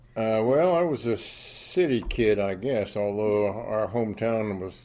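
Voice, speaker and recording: Over noticeable background noise, a man with a fairly low pitch speaks at a fairly slow pace. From Wyoming. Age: 80s+. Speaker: retired entrepreneur and Air Force veteran. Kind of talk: casual interview.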